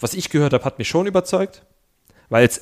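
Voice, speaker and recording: A man at a very fast pace, with ordinary pitch variation, in a very clean recording against a silent background. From East Germany. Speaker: podcast co-host. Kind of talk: casual chat. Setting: studio.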